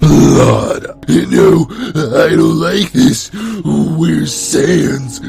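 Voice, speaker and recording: Against noticeable background noise, a man talks at a very slow pace with hardly any pauses. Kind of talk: comedic creepypasta reading with commentary. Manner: mock-dramatic storyteller.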